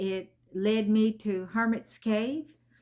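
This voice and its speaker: A woman with a medium-pitched voice speaks on a very clean recording with a silent background. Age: 60s. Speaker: tarot reader. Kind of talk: casual chat. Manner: halting, with many fillers.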